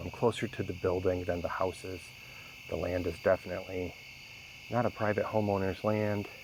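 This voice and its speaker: A quiet man speaks in a very deep, low pitch with monotone, flat intonation at a moderate pace. Noticeable background noise sits behind him. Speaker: outdoor vlogger. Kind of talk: vlog narration. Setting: outdoors in woods at night. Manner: quiet, hushed.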